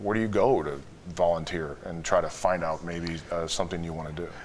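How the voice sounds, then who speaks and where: Moderately paced speech in an American accent, with audible room echo. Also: man. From Chicago. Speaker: wealth management executive. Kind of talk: interview. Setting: studio.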